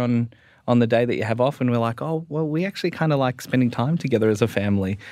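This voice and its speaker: A man in an Australian accent speaks with ordinary pitch variation on a very clean recording with a silent background. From Melbourne, Australia. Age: 20s. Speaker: Salvation Army officer. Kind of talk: panel discussion. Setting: studio.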